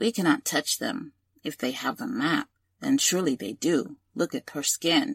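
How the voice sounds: A man performs a put-on character voice, squeaky and raspy at a high pitch. His pitch swings very widely at a moderate pace.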